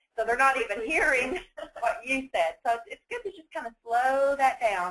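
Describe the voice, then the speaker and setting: Her loudness swings widely as a woman talks at a high pitch and fairly quick pace with lively intonation. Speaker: training webinar presenter. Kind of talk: training webinar. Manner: fast.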